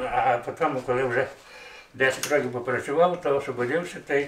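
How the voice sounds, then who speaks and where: With light background noise and audible room echo, a man speaks at a fairly high pitch with fairly even intonation. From Hutsul region, Ukrainian Carpathians. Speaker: retired policeman. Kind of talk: interview answer. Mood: calm reminiscing. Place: home room.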